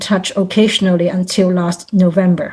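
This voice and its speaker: A woman in a Cantonese accent, somewhat breathy with a dark, mellow tone, at a moderate pace. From Hong Kong. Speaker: volunteer. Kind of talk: testimony. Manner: formal.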